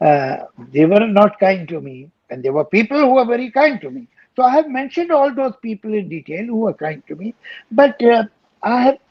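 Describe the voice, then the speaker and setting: A high-pitched man with an Indian accent at a moderate pace, with very wide pitch swings and big swings in loudness. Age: 70s. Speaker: poet, lyricist and screenwriter. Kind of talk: interview answer.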